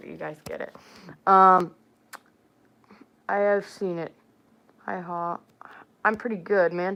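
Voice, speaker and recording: The very clean recording, with a silent background, carries a woman's bright, sharp tone. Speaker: furry content creator, livestreamer. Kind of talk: casual livestream chat. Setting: live stream. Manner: animated, informal.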